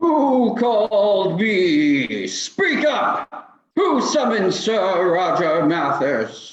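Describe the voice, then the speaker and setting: A man's put-on character voice, high-pitched, at a very slow pace with hardly any pauses and a slight echo. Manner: menacing, archaic.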